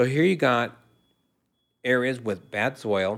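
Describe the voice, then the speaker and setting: An American accent marks this man's unremarkable speaking voice, which sits at a medium pitch and moves at a moderate pace. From Southern California. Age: 60s. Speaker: native foods educator. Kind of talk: interview.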